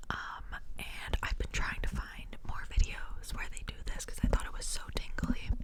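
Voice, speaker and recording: Whispering at a moderate pace with hardly any pauses, a woman speaks over noticeable background noise. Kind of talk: ASMR whisper ramble. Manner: whispered.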